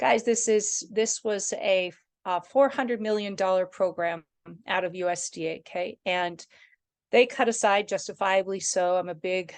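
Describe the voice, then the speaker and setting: A woman speaks at a medium pitch, her pitch varying in an ordinary way, with a quiet background behind her. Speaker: regional development commission director. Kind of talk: online meeting presentation. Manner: fast; casual.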